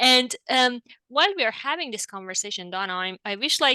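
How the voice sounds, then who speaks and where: Speaking at a fairly slow pace with a non-native accent, a woman has a bright, sharp tone, a fairly high pitch and ordinary pitch variation, recorded with a dry, close sound with no echo and a quiet background. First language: not English. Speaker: marriage and family therapist. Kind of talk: interview conversation.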